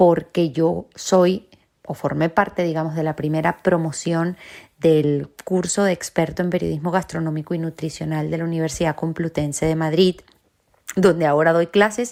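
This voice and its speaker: Speaking at a moderate pace in a Venezuelan accent, a woman has a fairly low pitch, a dark, mellow tone and fairly even intonation. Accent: Venezuelan Spanish, noticeable. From Venezuela, Caracas. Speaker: journalist, academy director, university lecturer. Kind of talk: interview.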